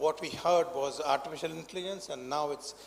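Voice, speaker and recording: A man's high voice at a very fast pace, with ordinary pitch variation and noticeable background noise. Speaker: doctor at a healthcare panel. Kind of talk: panel discussion. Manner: halting, many fillers.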